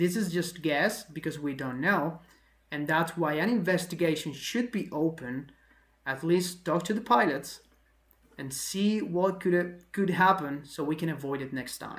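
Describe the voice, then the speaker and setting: A woman with a non-native accent talks at a fairly low pitch. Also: ordinary pitch variation, fairly slow pace. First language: not English. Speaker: aviation video host. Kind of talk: analysis commentary. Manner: conversational, with fillers.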